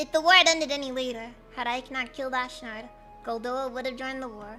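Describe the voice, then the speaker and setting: Over clear music in the background, a woman uses a put-on character voice, high-pitched and very fast. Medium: virtual streamer. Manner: formal, measured.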